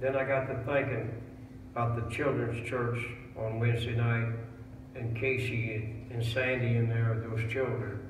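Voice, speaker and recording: The speech comes at a fairly slow pace in a flat monotone, with audible room echo and noticeable background noise. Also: man. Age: 80s+. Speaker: pastor. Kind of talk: sermon. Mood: warm, reflective. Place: church. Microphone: camera far.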